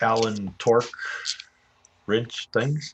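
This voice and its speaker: A normal speaking voice from a man at medium pitch, delivered at a fairly slow pace with fairly even intonation. The sound is dry and close, with no echo. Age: 60s. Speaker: dirt bike and paramotor hobbyist streamer. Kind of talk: casual chat. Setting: garage livestream.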